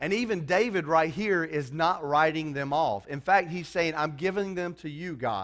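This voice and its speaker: A man's ordinary speaking voice, fairly high in pitch, at a moderate pace with lively intonation and hardly any pauses, in a very clean recording with a silent background. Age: 30s. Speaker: preacher. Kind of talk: sermon. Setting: church.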